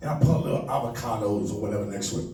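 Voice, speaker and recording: Over noticeable background noise and audible room echo, a man with a New York accent talks at a very fast pace in an animated tone. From New York City, the Bronx. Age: 40s. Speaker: comedian. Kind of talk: stand-up. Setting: stage with audience.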